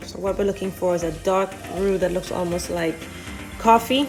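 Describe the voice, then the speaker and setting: Over music in the background, a woman speaks at a medium pitch and a fairly quick pace. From Saint Lucia. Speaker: chef. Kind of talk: cooking demonstration.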